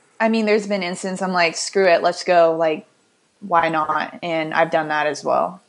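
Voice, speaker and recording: Delivered at a moderate pace, a normal speaking voice keeps a fairly even intonation. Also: woman, fairly low pitch for a woman. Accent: American. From Illinois. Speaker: fitness coach. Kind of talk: casual chat.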